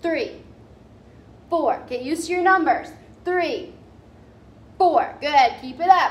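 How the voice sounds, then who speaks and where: Lively intonation shapes a woman's speech at a moderate pace. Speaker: fitness instructor. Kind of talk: workout instruction. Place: gym. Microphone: camera far.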